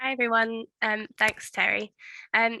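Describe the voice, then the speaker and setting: In a Scottish accent, a woman with a fairly high pitch and a bright, sharp tone speaks with dry, close sound and no echo. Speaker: project officer and webinar host. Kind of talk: webinar presentation. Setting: online webinar.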